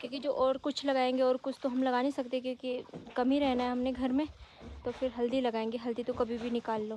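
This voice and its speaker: A woman speaks at a moderate pace with high pitch and monotone, flat intonation. The sound is dry with no echo, over light background noise. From Uttarakhand, Garhwal; Uttarakhand. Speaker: village vlogger. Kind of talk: vlog narration. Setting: outdoors. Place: open country. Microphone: phone near.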